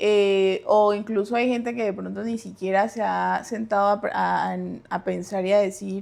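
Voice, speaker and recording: A woman speaks with a coastal Colombian accent. Her pace is fairly slow. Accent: mild coastal Colombian. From Colombian Caribbean coast (Santa Marta), Santander family. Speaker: guest speaker. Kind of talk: casual chat.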